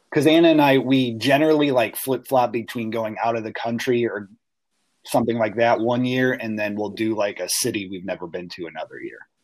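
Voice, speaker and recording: Talking at a fairly quick pace, a man uses a plain, everyday voice at medium pitch with ordinary pitch variation. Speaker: podcast co-host. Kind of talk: casual chat.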